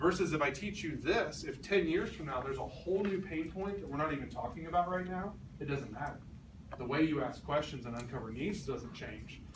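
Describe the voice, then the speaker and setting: A man at a fairly quick pace with lively intonation, amid noticeable background noise and audible room echo. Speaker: sales trainer. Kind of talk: training talk. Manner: fast.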